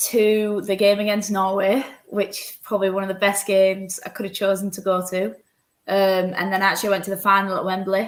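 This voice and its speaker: A woman speaks in a Yorkshire accent. Her intonation is monotone and flat. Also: big swings in loudness. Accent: Yorkshire, noticeable. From Yorkshire, northern England. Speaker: professional footballer. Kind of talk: interview.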